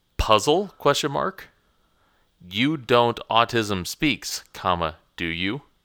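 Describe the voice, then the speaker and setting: At a very slow pace, a man speaks at a medium pitch with very wide pitch swings in a very clean recording with a silent background. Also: long, frequent pauses. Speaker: podcast host. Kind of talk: casual chat. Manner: joking, bantering.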